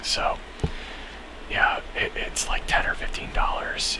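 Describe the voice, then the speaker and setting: Someone whispers over noticeable background noise. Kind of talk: ASMR video game talk. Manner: whispered.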